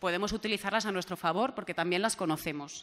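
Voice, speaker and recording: A woman speaks, her intonation lively. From Valencia, Spain; Spain. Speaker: regional MP and journalist; journalist. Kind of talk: panel discussion; panel debate talk. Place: meeting room. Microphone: podium.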